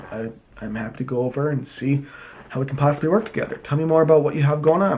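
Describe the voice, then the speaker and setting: A man speaks with a fairly high pitch. Noticeable noise sits in the background. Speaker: business coach. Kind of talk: tutorial. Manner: fast.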